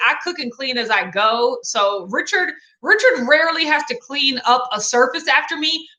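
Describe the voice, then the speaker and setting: Raised and projected, a woman's high, bright, sharp voice in an American accent moves at a moderate pace with very wide pitch swings. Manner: drops g in -ing endings.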